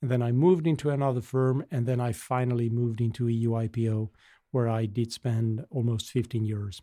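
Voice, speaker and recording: A man talks at a fairly quick pace in a medium-pitched voice. His tone is dark and mellow, with fairly even intonation. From Basque Country, Spain. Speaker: association CEO. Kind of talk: casual interview conversation.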